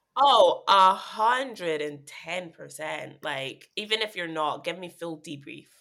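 A woman talks at a fairly slow pace with hardly any pauses, in a fairly low pitch. Her tone is bright and sharp, and her loudness swings widely. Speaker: podcast host. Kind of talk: casual chat. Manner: laid-back, jokey.

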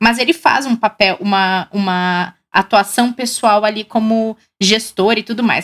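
On a very clean recording with a silent background and a dry, close sound with no echo, a woman uses an ordinary speaking voice, fairly high in pitch, speaking at a fairly slow pace with fairly even intonation. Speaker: financial show host. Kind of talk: live show hosting.

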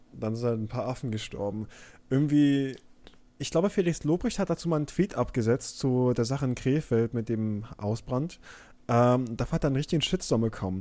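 Here a man talks at a moderate pace and medium pitch. His tone is dark and mellow, with ordinary pitch variation. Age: 20s. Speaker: podcast co-host. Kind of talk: casual chat. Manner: halting.

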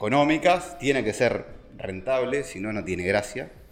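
Lively intonation colors this man's speech. He keeps a moderate pace. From Uruguay, Montevideo. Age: 50s. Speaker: vine grower. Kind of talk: casual interview. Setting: at the guest's home. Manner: halting, with many fillers and repetitions.

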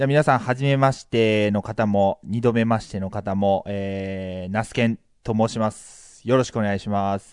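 Against a quiet background, a man in a normal speaking voice talks at a moderate pace with fairly low pitch, fairly even intonation, hardly any pauses and big swings in loudness. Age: 30s. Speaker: podcast co-host. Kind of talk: casual chat.

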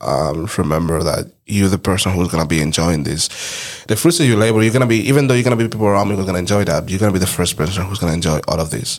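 A man's very deep, low voice at a very fast pace, with a non-native accent. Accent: foreign. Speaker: podcast host. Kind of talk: casual chat.

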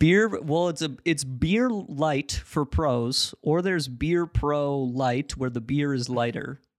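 At a very slow pace with hardly any pauses, a man with an American accent speaks at a fairly high pitch with ordinary pitch variation. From Ohio. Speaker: podcast co-host. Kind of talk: casual comedic chat. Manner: joking, riffing.

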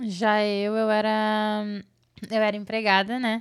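A woman's fairly high, monotone voice with flat intonation, on a very clean recording with a silent background. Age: 20s. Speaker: mother. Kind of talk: casual chat.

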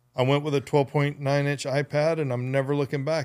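Heard in a very clean recording with a silent background, a man speaks at a medium pitch. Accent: American. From US state of Georgia. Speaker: podcast host. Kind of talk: casual chat. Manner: animated.

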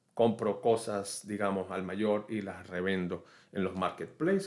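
On a very clean recording with a silent background, a man with an unremarkable speaking voice talks at a moderate pace, his pitch fairly low and intonation fairly even. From Venezuela. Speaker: podcast host on online entrepreneurship. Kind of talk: solo podcast monologue. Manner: conversational with frequent fillers.

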